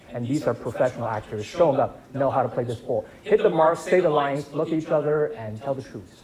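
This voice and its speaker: Amid noticeable background noise, a man with a fairly high pitch talks at a very fast pace with hardly any pauses. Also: lively intonation. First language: not English. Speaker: filmmaker. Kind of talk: Q&A after film screening. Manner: hesitant, many fillers and repetitions.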